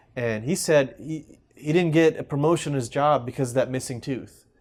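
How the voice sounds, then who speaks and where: A man speaks with an American accent, his pitch fairly high for a man. The recording is very clean, with a silent background. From US South, Alabama (Hoover). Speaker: dentist. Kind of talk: TV interview. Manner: halting, many repetitions.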